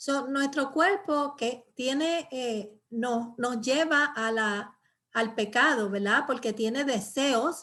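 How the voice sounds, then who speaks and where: A woman's high voice at a very slow pace, on a very clean recording with a silent background. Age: 60s. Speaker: pastor and Bible teacher. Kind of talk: Bible study teaching. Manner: halting, many fillers.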